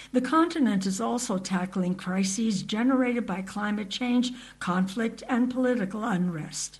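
At a fairly slow pace, a woman talks with a somewhat breathy voice at a medium pitch and ordinary pitch variation. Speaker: radio news reporter. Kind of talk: scripted news report. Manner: formal, even, measured.

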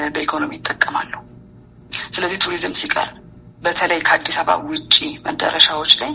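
Pitch swings very widely over noticeable background noise. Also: woman, medium pitch for a woman. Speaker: tour operators association president. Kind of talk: interview.

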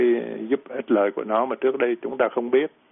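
This is a man speaking at a medium pitch. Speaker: physician, pediatrics and general medicine. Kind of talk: medical Q&A explanation. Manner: halting, many fillers and repetitions.

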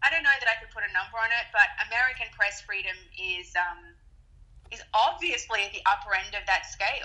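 A woman talks at a fairly slow pace with a bright, sharp tone and a fairly high pitch. Her loudness swings widely, while her pitch varies in an ordinary way. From Australia. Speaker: TV correspondent. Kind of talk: interview. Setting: phone call.

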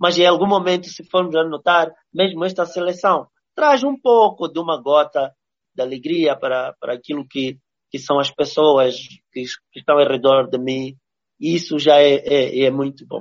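A man talks with a fairly high pitch. His pace is moderate, and his pitch varies in an ordinary way. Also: big swings in loudness. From Mozambique. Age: 40s. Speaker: visual artist. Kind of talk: interview. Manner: halting, with many repetitions.

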